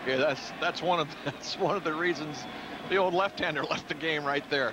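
Noticeable background noise behind a man's fairly quick speech. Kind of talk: live commentary. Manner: conversational, analytical, measured.

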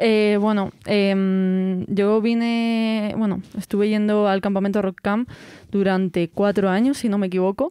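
A woman's medium-pitched, dark and mellow voice, flat and monotone, at a fairly slow pace with very even loudness. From Spain, Segovia province. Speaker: music festival organizer. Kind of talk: interview.

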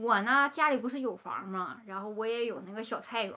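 With a Northeastern Chinese accent, a woman talks at a moderate pace in a fairly high pitch and a bright, sharp tone. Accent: Northeastern Mandarin. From Northeast China. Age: 30s. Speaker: vlogger; vlogger talking about seeking marriage. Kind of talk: personal monologue to camera. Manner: chatty, colloquial with many fillers. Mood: calm, wistful storytelling.

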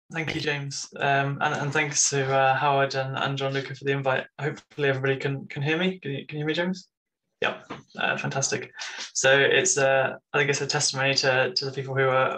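A very fast, monotone man with flat intonation and a bright, sharp tone, over light background noise. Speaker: presenter. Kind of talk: conference talk. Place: home room.

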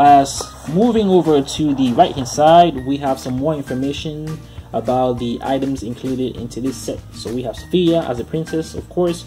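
The speech moves at a moderate pace, with clear music in the background. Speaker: toy reviewer. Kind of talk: casual toy review commentary. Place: home room.

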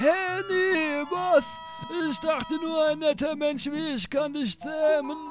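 A man uses a put-on character voice at a fairly slow pace. Loud music plays in the background. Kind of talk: comic overacting. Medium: solo performance. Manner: casual, slangy, pleading.

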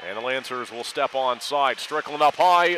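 An animated man's voice in a dry sound with no echo, over noticeable background noise. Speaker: hockey play-by-play announcer. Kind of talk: live sports commentary. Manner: fast, animated play-by-play delivery; clipped, urgent staccato. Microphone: headset.

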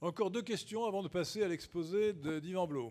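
With lively intonation and a high pitch, a man talks at a moderate pace over a quiet background. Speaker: conference host and speaker; conference host, speaker. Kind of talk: Q&A session at a political conference. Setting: conference hall with audience and roaming microphone. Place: hall. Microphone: podium.

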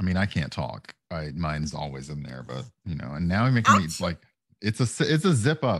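In an American accent, a man speaks at a moderate pace with a very deep, low pitch and vocal fry. His pitch swings very widely, his loudness shifts a lot, and the background is quiet. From US South. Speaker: streamer. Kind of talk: casual chat. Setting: video call. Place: home room. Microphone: headset.

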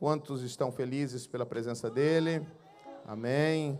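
A man speaks at a fairly slow pace with a fairly high pitch. His tone is dark and mellow. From Brazilian Northeast. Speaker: pastor. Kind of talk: church service announcements. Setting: church. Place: hall. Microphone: handheld.

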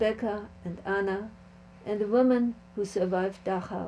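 A woman with a German accent speaks with ordinary pitch variation over light background noise. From Germany. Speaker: Holocaust survivor. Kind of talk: testimony. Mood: sad, reflective.

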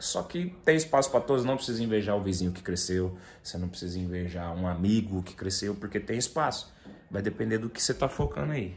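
A man's fairly low, somewhat breathy voice at a fairly quick pace, over light background noise. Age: 20s. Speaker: YouTuber and funk music producer; YouTuber. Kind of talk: casual vlog chat. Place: home room. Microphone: phone near.

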